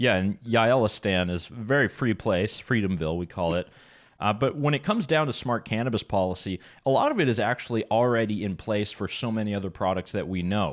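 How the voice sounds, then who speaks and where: At a fairly quick pace, a man speaks with a fairly low pitch and ordinary pitch variation in a very clean recording with a silent background. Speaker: policy advocate. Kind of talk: radio interview.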